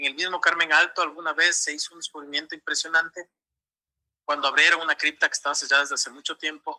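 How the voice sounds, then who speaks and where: The sound of a man talking is dry and close, without any echo. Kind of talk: interview answer.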